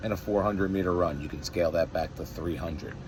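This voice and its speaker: Noticeable background noise runs under the recording. A man talks in a very deep, low pitch. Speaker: fitness coach. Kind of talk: workout programming briefing. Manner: softer than usual.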